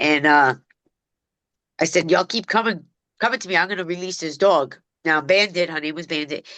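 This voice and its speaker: Against a quiet background, a woman with a Brooklyn accent talks at a fairly quick pace in a bright, sharp tone, taking long, frequent pauses and making big swings in loudness. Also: fairly low pitch for a woman, ordinary pitch variation. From New York City, Brooklyn (Bensonhurst). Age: 50s. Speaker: dog trainer. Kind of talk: podcast interview. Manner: casual street-style speech.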